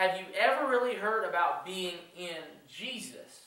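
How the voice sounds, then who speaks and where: A man speaks in a raised, projected voice. Audible room echo surrounds him. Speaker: youth pastor. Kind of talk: sermon. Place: church. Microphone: camera far.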